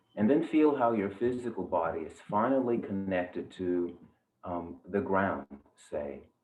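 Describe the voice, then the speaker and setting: Music plays in the background while a man talks at a fairly slow pace. His fairly low voice has lively intonation. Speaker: yoga teacher, meditation guide. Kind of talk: guided meditation. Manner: slow, calm, soft-spoken.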